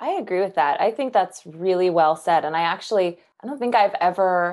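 In a very clean recording with a silent background, a woman with an American accent talks at a moderate pace in a normal speaking voice of medium pitch. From Kansas. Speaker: nutritionist and author. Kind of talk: casual interview.

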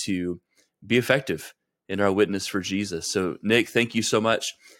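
On a very clean recording with a silent background, a man with a fairly low voice talks at a moderate pace in an ordinary speaking voice with fairly even intonation. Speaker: podcast host. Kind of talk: casual interview.

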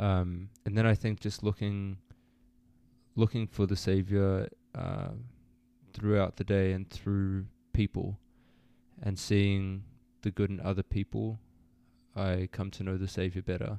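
Against a silent background in a very clean recording, a man talks at a fairly slow pace in a monotone, flat delivery with a dark, mellow tone, long, frequent pauses, and a dry, close sound with no echo. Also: fairly low pitch for a man. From Australia. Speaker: university student. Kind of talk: interview.

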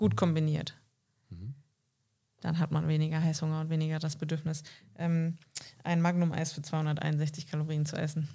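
A woman speaks at a moderate pace in a very deep, low pitch, her tone dark and mellow and somewhat breathy. Her intonation stays fairly even, broken by long, frequent pauses. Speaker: podcast co-host. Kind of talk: casual chat.

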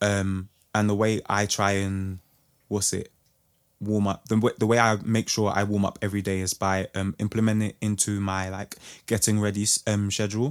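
A man with a London accent, fairly low in pitch, with monotone, flat intonation at a moderate pace, in a very clean, dry, close recording with no echo and a silent background. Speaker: singer. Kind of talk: casual chat.

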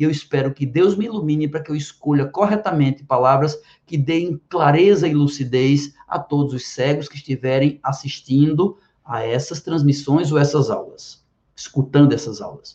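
At a moderate pace, the speaker sounds somewhat breathy and varies pitch in an ordinary way. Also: man. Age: 50s. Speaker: biology teacher and physician. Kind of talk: direct-to-camera explanation.

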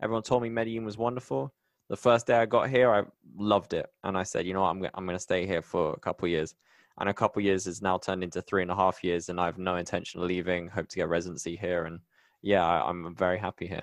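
In a West Country accent, a man talks very fast in a very deep, low voice with ordinary pitch variation, the sound dry and close with no echo. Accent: British English, West Country. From England, Bristol. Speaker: podcast host and technology writer. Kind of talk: casual interview.

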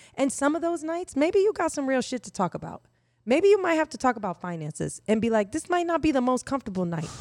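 A woman with an American accent speaks at a very fast pace, her high voice making very wide pitch swings. The recording is very clean with a silent background and a dry, close sound with no echo. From Indiana, US Midwest. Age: 40s. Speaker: sexologist and sex educator. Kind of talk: casual podcast conversation. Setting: podcast recorded at kitchen table, on camera.

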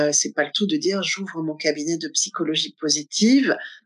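A woman's voice makes very wide pitch swings at a fairly slow pace, with a dry, close sound and no echo. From Normandy, Manche. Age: 50s. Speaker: garden owner and laughter yoga facilitator. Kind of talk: interview. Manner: hesitant, many fillers.

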